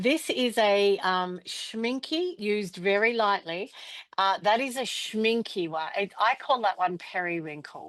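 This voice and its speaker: Against a quiet background, a woman with an Australian accent speaks at a fairly slow pace and medium pitch, her intonation lively. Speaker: pastel artist demonstrator. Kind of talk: live art demonstration. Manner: casual, chatty.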